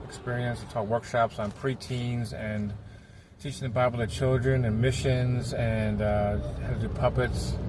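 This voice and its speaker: Over noticeable background noise, a man talks at a moderate pace in a medium pitch with fairly even intonation. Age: 60s. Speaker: children's ministry puppeteer. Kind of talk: casual vlog while driving. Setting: in a car.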